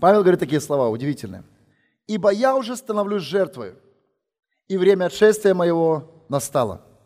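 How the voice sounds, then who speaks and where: In a very clean recording with a silent background, a high-pitched man speaks in an animated tone at a fairly quick pace, his pitch swinging very widely and broken by long, frequent pauses. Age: 40s. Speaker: visiting preacher. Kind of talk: sermon. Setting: church.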